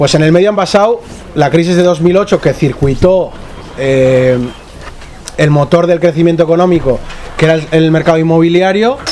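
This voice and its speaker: A man's high voice, very even in loudness and ordinary in pitch variation, with long, frequent pauses over noticeable background noise. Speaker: journalist and researcher. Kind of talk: panel discussion. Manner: fast.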